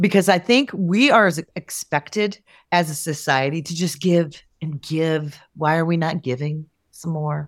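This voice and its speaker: On a very clean recording with a silent background, a woman of fairly low pitch speaks fairly slowly in an animated tone with ordinary pitch variation. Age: 50s. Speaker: guest sharing menopause experience. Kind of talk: casual chat.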